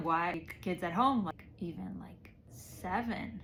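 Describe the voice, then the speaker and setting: Here a woman speaks with a Spanish accent. Her pitch varies in an ordinary way. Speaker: storyteller recounting her childhood. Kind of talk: personal storytelling monologue. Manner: casual, conversational with many fillers.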